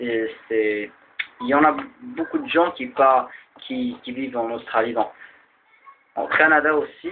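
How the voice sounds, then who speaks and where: Very slowly, a man speaks with an Arabic accent. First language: Arabic (speaking French). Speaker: video blogger. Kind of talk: explainer talk. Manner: halting, many fillers and repeats.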